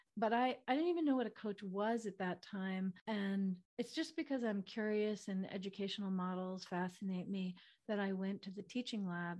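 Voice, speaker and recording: Talking at a fairly quick pace, a woman has an ordinary speaking voice of medium pitch. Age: 50s. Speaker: physician and intimacy coach. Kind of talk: interview conversation.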